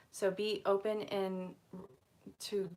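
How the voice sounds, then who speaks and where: A woman with an American accent speaks in a monotone, flat intonation. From Vermont, US. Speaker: angel card reader. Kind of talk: live stream reading. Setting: live stream.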